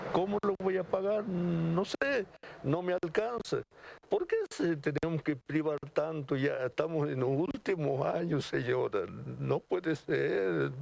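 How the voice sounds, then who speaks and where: At a very slow pace, a man speaks with very even loudness. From Argentina, Jujuy. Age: 70s. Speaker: pensioner interviewed on the street. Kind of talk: street interview. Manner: halting.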